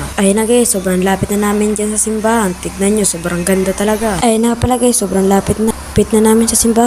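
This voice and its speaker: A soft-spoken woman at a fairly high pitch, very fast pace and hardly any pauses, with monotone, flat intonation and noticeable background noise. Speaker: vlogger. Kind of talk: casual vlog narration. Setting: outdoors, walking.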